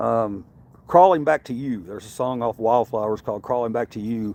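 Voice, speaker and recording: A man with a Southern US accent, medium pitch, ordinary pitch variation and a moderate pace. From US South, Mississippi. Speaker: livestreamer. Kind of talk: casual livestream chat with viewers. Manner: halting, many repetitions and fillers.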